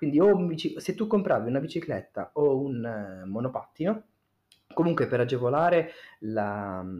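A man speaks with very wide pitch swings and long, frequent pauses. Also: fairly high pitch for a man, moderate pace. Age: 30s. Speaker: podcast guest, host's cousin. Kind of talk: casual chat.

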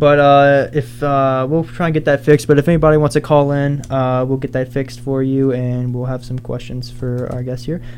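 Moderate pacing over background music. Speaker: student radio DJ. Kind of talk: radio DJ patter, live show. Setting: radio studio. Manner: upbeat, chatty, filler-laden.

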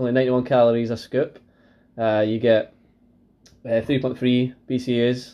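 In a dark, mellow tone, a man talks at a moderate pace and medium pitch, monotone and flat, with long, frequent pauses. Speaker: podcast co-host. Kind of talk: casual chat.

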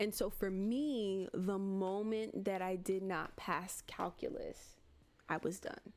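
In an American accent, a woman speaks at a medium pitch and a very slow pace with fairly even intonation. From Miami, Florida. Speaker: podcast co-host. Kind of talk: casual chat. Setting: livestream with live chat.

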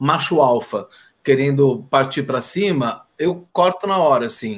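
With lively intonation, the speaker uses a normal speaking voice. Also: man. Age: 50s. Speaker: school teacher. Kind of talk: casual interview chat.

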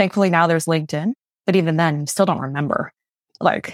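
At a very fast pace, a woman speaks with fairly low pitch and fairly even intonation in a dry, close sound with no echo. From Malaysia/New Brunswick, Canada. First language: Mandarin. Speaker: entrepreneur and consultant. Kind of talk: casual interview conversation.

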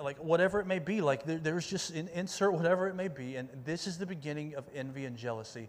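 A man speaks in a normal speaking voice at a fairly high pitch. His pace is fairly quick, with ordinary pitch variation. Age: 40s. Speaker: youth pastor. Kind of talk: sermon. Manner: casual, conversational with many fillers.

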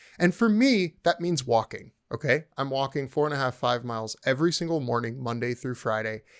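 The pace is fairly quick, and the pitch varies in an ordinary way in an unremarkable speaking voice. The background is silent and the recording very clean. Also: man. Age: 30s. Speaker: podcast host and chef. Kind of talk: casual chat.

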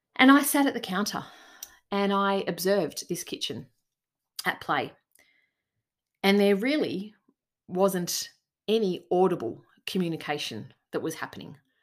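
A woman talks at a moderate pace in an Australian accent with lively intonation. She pauses often and at length. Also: medium pitch for a woman, very clean recording, silent background. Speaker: leadership coach and podcast host. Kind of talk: solo podcast monologue.

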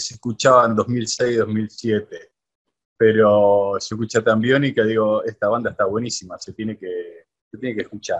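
Speaking fairly slowly, the man shows big swings in loudness. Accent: Rosario. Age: 40s. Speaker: radio host. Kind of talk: interview. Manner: halting.

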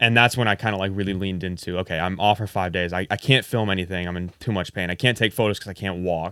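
A man with an American accent talks at a very fast pace, with hardly any pauses. His pitch is very deep and low, and his intonation is fairly even. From Indiana. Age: 20s. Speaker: YouTuber and photographer. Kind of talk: casual chat.

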